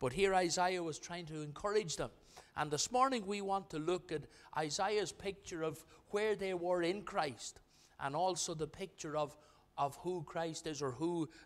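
A man speaks at a moderate pace in a high voice. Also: ordinary pitch variation. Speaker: pastor. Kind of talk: sermon. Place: church. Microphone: podium.

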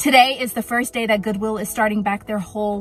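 A woman speaks with fairly even intonation over faint background music, the sound dry with no echo. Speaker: thrift vlogger. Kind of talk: casual vlog chat. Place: car. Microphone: phone near.

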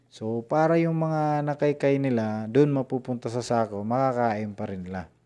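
A man speaks in a dark, mellow tone at a moderate pace. The background is quiet. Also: medium pitch for a man, ordinary pitch variation, hardly any pauses. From Visayas/Mindanao, Philippines. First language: Cebuano (Bisaya) (speaking Tagalog). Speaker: poultry farmer and vlogger. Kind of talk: live stream tutorial. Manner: halting, many fillers. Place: home room. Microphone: earbuds.

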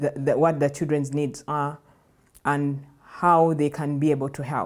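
A woman with a Ugandan accent speaks in a very deep, low voice. Her intonation is flat and monotone, over a quiet background. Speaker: nonprofit program director. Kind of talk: personal testimony at a workshop. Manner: halting, with fillers and restarts. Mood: reflective, earnest. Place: studio. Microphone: lapel.

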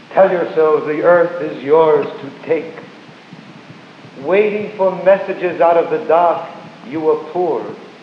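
A man with a high pitch and fairly even intonation at a fairly slow pace, with long, frequent pauses, big swings in loudness, audible room echo and light background noise. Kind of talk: poetry reading. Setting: live stage performance. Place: hall. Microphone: old recording.

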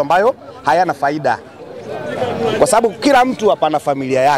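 Against background music, a man speaks with lively intonation in a dry sound with no echo. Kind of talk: interview answer. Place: street. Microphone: handheld.

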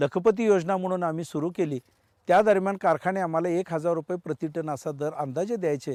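Here a man speaks in a high voice with ordinary pitch variation. The sound is dry and close with no echo, on a very clean recording with a silent background. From Maharashtra, Sangli district. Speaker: farmer. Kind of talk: interview.

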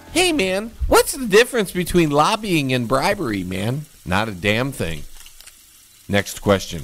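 With music in the background, someone speaks at a fairly slow pace in an American accent. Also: man. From US Midwest (Michigan). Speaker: comedian. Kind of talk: mock press conference, comic candidate speech fielding staged reporter questions. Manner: mock-solemn political oratory.

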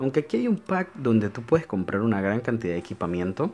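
A man talks at a very fast pace. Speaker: gaming YouTuber. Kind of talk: casual gameplay commentary. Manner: informal and chatty.

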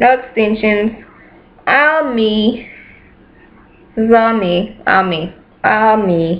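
A woman speaks at a very slow pace and a fairly high pitch. She leaves long, frequent pauses, and her pitch varies in an ordinary way. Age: 20s. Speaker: beauty and hair vlogger; hair vlogger. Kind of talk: casual vlog monologue. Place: home room. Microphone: webcam.

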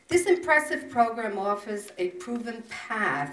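A woman at a fairly slow pace, with music in the background and audible room echo. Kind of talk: prepared ceremonial speech. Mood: proud, formal. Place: meeting room.

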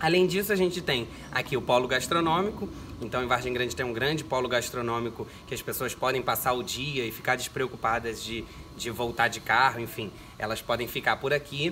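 Light background noise sits behind a man talking at a fairly quick pace. His pitch variation is ordinary. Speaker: guest. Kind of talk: interview answer. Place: garden. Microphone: camera far.

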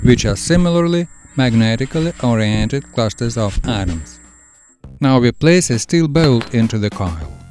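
A man at a medium pitch speaks at a moderate pace with very wide pitch swings, music playing in the background. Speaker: science demonstrator. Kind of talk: educational science narration.

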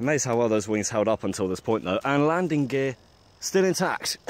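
A man's lively intonation in a dry sound with no echo. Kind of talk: casual vlog chat. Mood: wry, mildly disappointed. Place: open country. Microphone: phone near.

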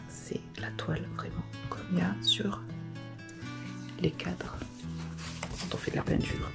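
Clear music plays in the background as the speaker goes at a very slow pace with long, frequent pauses. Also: woman. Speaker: crafts YouTuber. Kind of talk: casual talk to camera. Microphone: phone near.

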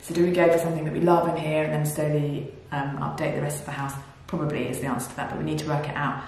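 A woman with a British accent talks at a very fast pace in a very deep, low pitch with monotone, flat intonation. Audible room echo and light background noise are present. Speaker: DIY home renovation vlogger. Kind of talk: casual talk to camera. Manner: whispered. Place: empty room. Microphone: camera far.

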